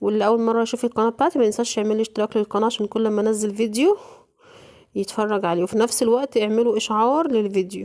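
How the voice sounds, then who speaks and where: This woman's voice sits fairly high, with fairly even intonation and very even loudness as she talks very fast. The sound is dry and close, with no echo. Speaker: home cooking vlogger. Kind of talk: cooking tutorial. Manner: casual, chatty.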